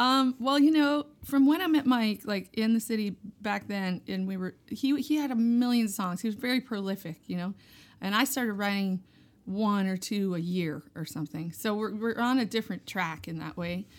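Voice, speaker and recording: A plain, everyday voice from a woman with an American accent, fairly high in pitch, at a moderate pace with lively intonation. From Hudson Valley, New York. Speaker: musician, fiddler and singer. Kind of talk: casual interview chat. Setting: festival interview.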